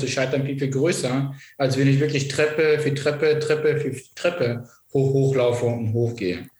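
Somewhat breathy and medium in pitch, a man talks at a moderate pace with fairly even intonation amid audible room echo. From eastern Germany (Vogtland, Saxony), born in Iraq. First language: not German (Iraq) (speaking German). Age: young. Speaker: politician, civil engineer. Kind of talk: interview.

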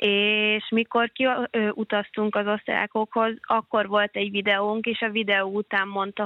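A woman speaks at a fairly slow pace with monotone, flat intonation. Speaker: handball player. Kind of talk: interview. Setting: phone call. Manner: hesitant, filler sounds.

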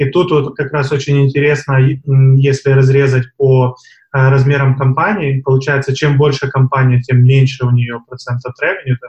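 At a moderate pace, a man with a medium pitch speaks in a monotone, flat intonation, and his voice is somewhat breathy. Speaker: podcast co-host. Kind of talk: podcast discussion.

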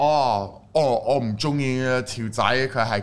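A man with a non-native accent. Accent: foreign accent in Cantonese. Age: young. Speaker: Cantonese-speaking foreign YouTuber. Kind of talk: casual chat.

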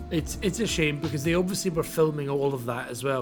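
With a Scottish accent, a man speaks at a moderate pace and fairly high pitch, using ordinary pitch variation. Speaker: wrestling podcast host. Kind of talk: casual chat.

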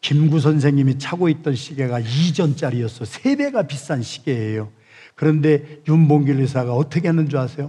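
Somewhat breathy, a man speaks at a fairly high pitch with a dark, mellow tone, a moderate pace and ordinary pitch variation. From South Korea, Chungcheong (Yesan). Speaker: pastor. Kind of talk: sermon.

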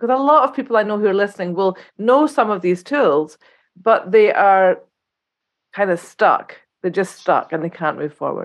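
A woman with an ordinary speaking voice at medium pitch and a moderate pace, against a quiet background. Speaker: podcast host, psychotherapist. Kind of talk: interview conversation.

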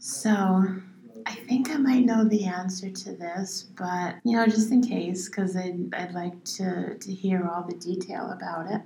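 Against noticeable background noise, a woman speaks fairly slowly at medium pitch with fairly even intonation. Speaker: songwriter and poet. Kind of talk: casual chat. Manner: halting, spacey-sounding.

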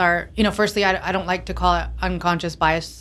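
A woman with an American accent at a fairly quick pace, with audible room echo. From Pakistan, American boarding school. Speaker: tech company founder and CEO. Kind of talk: casual interview. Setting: on location at a conference.

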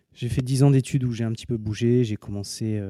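Dry, close sound with no echo carries a man's dark, mellow tone and fairly even intonation. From southern France (Montpellier). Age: 40s. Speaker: sports doctor. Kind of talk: interview. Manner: halting.

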